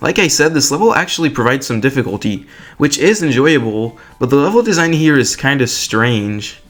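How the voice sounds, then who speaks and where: With music in the background, a man's words come at a fairly quick pace. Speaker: video game commentator. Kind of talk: casual video essay commentary.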